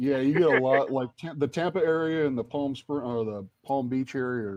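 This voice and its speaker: This man has an American accent and a medium pitch. He talks at a moderate pace with ordinary pitch variation. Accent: muddled Southern. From US South (Navy brat: Texas, South Carolina, Florida, Atlanta). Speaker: live stream participant. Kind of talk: casual chat.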